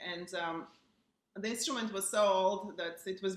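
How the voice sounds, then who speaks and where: A woman with an Eastern European accent speaks at a fairly slow pace, her fairly low pitch carried in fairly even intonation. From Bulgaria, Burgas on the seacoast. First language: Bulgarian. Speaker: pianist. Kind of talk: casual chat.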